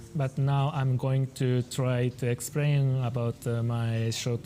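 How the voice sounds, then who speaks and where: Speaking very slowly with a Japanese accent, a man holds a medium pitch and fairly even intonation. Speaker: painter and manga artist. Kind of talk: talk with interpreter. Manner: halting.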